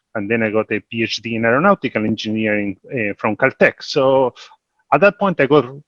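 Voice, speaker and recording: With an Argentine accent, a man talks at a moderate pace and medium pitch against a quiet background, the sound dry and close with no echo. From Argentina. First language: Spanish. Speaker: investment executive. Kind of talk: panel discussion.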